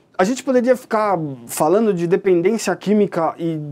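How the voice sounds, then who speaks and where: On a very clean recording with a silent background, a man speaks in a high-pitched, dark, mellow tone with lively intonation. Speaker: hypnotherapist giving a talk. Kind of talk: lecture. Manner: some stumbling and false starts.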